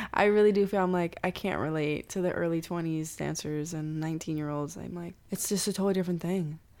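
A woman with an ordinary speaking voice talks at a fairly quick pace and a fairly low pitch. The recording is very clean, with a silent background. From Cuban-American, Miami. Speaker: choreographer and dancer. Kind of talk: casual interview chat.

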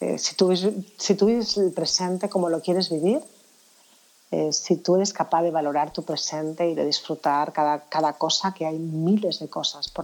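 In a normal speaking voice, a woman talks at a moderate pace and fairly low pitch with fairly even intonation, on a very clean recording with a silent background. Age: 50s. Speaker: anti-aging professional. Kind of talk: interview.

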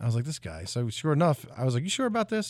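A very fast pace with an American accent, in a very clean recording with a silent background. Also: man. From South Jersey, US. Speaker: country singer. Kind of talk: radio interview. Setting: radio studio.

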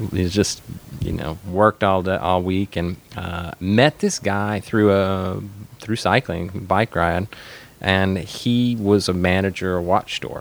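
An American accent at a very slow pace, with fairly even intonation. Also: man, very deep, low pitch for a man. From Arkansas, US South. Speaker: watch brand manager. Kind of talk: casual interview. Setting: studio at watch company office.

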